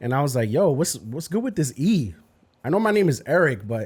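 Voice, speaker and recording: A man's voice swings very widely in pitch at a moderate pace, captured on a very clean recording with a silent background. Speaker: podcast host and youth minister. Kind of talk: casual chat.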